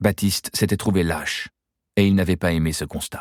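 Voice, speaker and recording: A man with a very deep, low pitch speaks at a fairly quick pace and with ordinary pitch variation. The recording is very clean, with a silent background and a dry, close sound with no echo. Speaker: actor. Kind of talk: audiobook reading.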